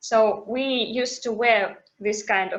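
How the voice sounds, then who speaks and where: A woman with a non-native accent and a fairly high pitch. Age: 20s. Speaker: activist. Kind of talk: testimony. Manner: halting.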